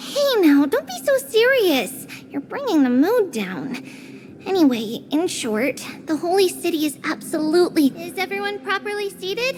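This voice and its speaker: A put-on character voice, high in pitch, moves at a moderate pace over clear background noise. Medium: video game. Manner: lively, upbeat.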